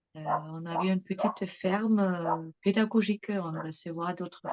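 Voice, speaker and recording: Somewhat breathy, a woman with a non-native accent speaks at a fairly low pitch with fairly even intonation, in a dry, close sound with no echo. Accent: foreign accent in French. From England and Germany. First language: English or German (speaking French). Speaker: mother giving testimony. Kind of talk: interview testimony. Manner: hesitant, many fillers.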